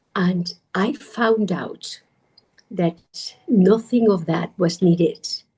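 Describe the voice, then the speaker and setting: A woman talks at a very slow pace in a medium pitch, her tone dark and mellow. She sounds somewhat breathy, with ordinary pitch variation. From Spain. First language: Spanish. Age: 40s. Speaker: meditation teacher. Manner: animated.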